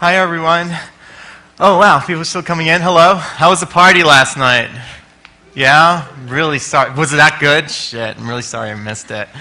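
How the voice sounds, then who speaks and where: An energetic, fairly quick man with an American accent, fairly high pitch, ordinary pitch variation and big swings in loudness, amid noticeable background noise and audible room echo. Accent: sounds American. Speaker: conference speaker, experience designer. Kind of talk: conference talk. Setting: stage with audience. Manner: energetic and loud.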